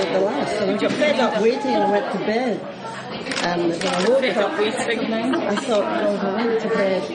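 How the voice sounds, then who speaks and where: A woman talks at a fairly slow pace against loud background noise. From Scotland. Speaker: politician. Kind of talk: casual conversation. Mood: amused, reminiscing. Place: cafe.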